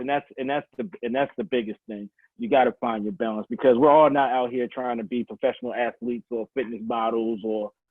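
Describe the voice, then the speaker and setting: A man speaks with a Baltimore accent at a medium pitch. His pace is fairly quick. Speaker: fitness coach. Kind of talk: casual interview. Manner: halting, many restarts.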